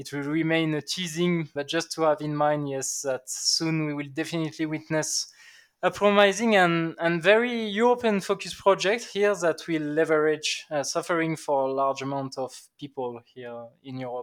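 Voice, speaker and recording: In a very clean recording with a silent background, a man with a French accent talks at a moderate pace, his fairly high pitch showing ordinary variation while his loudness swings widely. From southern France, Aix-en-Provence. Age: 20s. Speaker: sales enablement lead. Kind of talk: interview.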